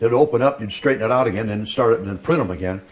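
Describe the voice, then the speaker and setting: Over noticeable background noise, a man with an American accent talks very fast at a medium pitch with ordinary pitch variation. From US Midwest. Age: 80s+. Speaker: retired newspaper printer. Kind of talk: oral history interview. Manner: casual, halting with repeats.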